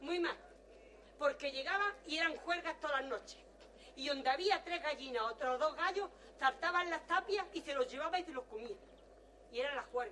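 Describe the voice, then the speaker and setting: Raising and projecting her voice, a woman speaks at a high pitch and moderate pace with lively intonation. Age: 60s. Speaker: interviewee, villager. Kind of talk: testimony.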